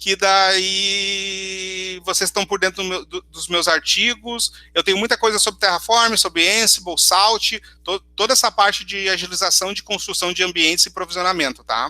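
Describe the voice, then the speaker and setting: The voice is raised and projected, with fairly even intonation. The sound is dry and close, with no echo. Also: man, high pitch for a man. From southern Brazil, Porto Alegre region. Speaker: cloud solutions architect giving a tech talk. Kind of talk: conference talk with live demo. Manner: fast.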